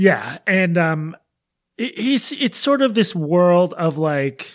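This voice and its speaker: The recording is very clean with a silent background. A man talks in a high-pitched voice. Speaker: podcast co-host. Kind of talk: casual chat. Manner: animated.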